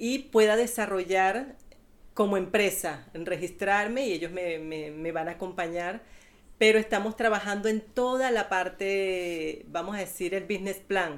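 In a plain, everyday voice, a woman speaks at medium pitch and a fairly slow pace with ordinary pitch variation. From Venezuela. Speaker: childminder and piñata maker. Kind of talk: interview.

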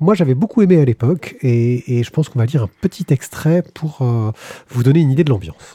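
At a fairly quick pace, a man speaks with a fairly high pitch, lively intonation, a dark, mellow tone, and a somewhat breathy quality. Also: dry, close sound with no echo. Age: 40s. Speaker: podcast host. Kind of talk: casual chat; reading aloud.

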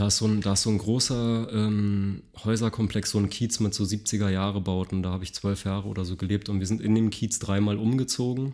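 With monotone, flat intonation, a man talks at a moderate pace in a fairly low pitch. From Berlin, Germany (grew up in Mitte, East Berlin). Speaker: carpenter and product designer. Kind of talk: casual interview.

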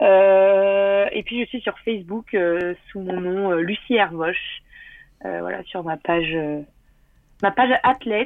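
Taking long, frequent pauses, a woman talks at a very slow pace with a medium pitch and ordinary pitch variation. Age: 20s. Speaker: windsurfer. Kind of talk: casual interview. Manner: animated.

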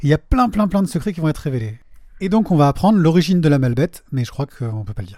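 The man talks very fast in a fairly high pitch. His voice swings very widely and has a dark, mellow tone. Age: 40s. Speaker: podcast host. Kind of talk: casual chat.

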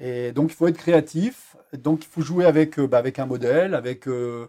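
A man with a dark, mellow tone speaks at a fairly slow pace, his fairly high pitch moving with lively intonation. The recording is very clean, with a silent background. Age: 50s. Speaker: underwater photography instructor. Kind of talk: interview. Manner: hesitant, many fillers.

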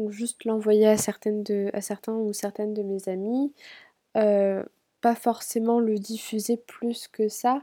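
Her voice is fairly high in pitch yet dark and mellow in tone. This woman speaks at a very slow pace in monotone, flat intonation, on a very clean recording with a silent background. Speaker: podcast host. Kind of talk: personal monologue. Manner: stuttering, verbal tics; tongue clicks.

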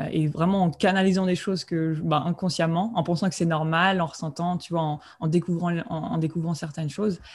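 A woman speaks at a fairly quick pace with a fairly low pitch. Her intonation is fairly even and her voice somewhat breathy. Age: 20s. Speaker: spiritual coach and medium. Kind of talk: interview. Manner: halting.

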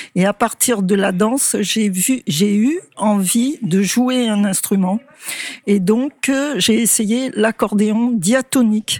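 A woman with a fairly high pitch talks very slowly, her pitch varying in an ordinary way and her loudness very even. The sound is dry and close with no echo, and there is noticeable background noise. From Anjou, western France. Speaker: choir workshop member. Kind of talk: interview.

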